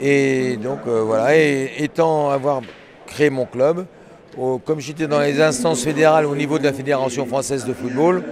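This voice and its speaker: A man with a fairly high pitch speaks at a fairly slow pace, with noticeable background noise behind him. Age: 70s. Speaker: sports club president. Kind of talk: interview. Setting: at a sports event venue. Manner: halting, many fillers.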